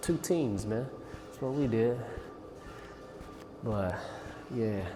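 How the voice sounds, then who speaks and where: Very slow speech with lively intonation comes through audible room echo while music plays in the background. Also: man. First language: not English. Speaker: political commentary vlogger. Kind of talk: casual reaction commentary. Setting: gym. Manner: halting, rambling with fillers.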